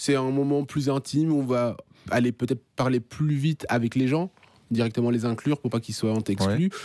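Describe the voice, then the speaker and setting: A dark, mellow tone at a moderate pace, with very even loudness and a dry, close sound with no echo on a very clean recording with a silent background. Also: man, medium pitch for a man, ordinary pitch variation. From Belgium (Marcinelle), born in Kinshasa. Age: 30s. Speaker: stand-up comedian. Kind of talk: radio interview answer.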